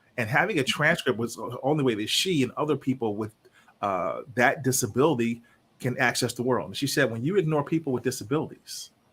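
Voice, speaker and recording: An ordinary speaking voice with an American accent. The pitch varies in an ordinary way, and the pace is fairly quick. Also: man, medium pitch for a man. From Chicago area, northwest Indiana. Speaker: leadership consultant and executive coach. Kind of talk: interview.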